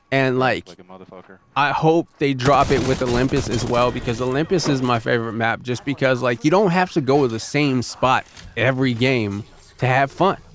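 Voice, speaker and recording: Noticeable background noise sits behind a man speaking at a moderate pace with medium pitch and ordinary pitch variation. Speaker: gaming streamer. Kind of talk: casual gameplay commentary. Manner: casual, filler-heavy.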